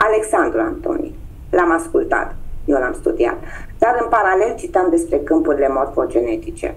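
Her pitch swings very widely as this woman talks at a moderate pace. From Romania, Constanța; Romania. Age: 50s. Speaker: human design guide. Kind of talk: interview. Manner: hesitant, many fillers. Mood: earnest, reflective. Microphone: video call.

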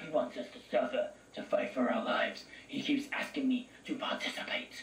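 Using a put-on character voice, a man speaks at an extremely high pitch and a moderate pace over light background noise. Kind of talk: dramatic note reading. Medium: game stream. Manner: haunted, desperate.

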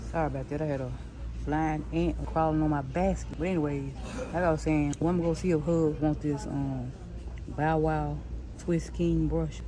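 Delivered at a fairly quick pace, the speech comes with noticeable background noise. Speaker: vlogger shopping. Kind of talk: casual vlog chat. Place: shop. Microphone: phone near.

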